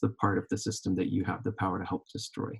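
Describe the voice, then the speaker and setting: A man with an American accent and a fairly low pitch talks very fast in a somewhat breathy voice. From Oklahoma. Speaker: PA student about to graduate. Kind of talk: panel discussion, live recording.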